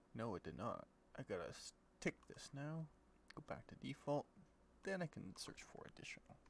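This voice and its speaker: A man is whispering at a moderate pace. His speech has long, frequent pauses. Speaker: game modding tutorial creator. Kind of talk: screen-recorded tutorial. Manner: halting, thinking aloud; casual.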